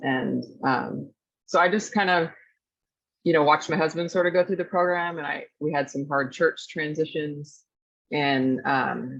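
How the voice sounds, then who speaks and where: A woman's very deep, low voice with vocal fry, a fairly slow pace and ordinary pitch variation over a quiet background. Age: 40s. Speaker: student. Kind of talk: casual chat.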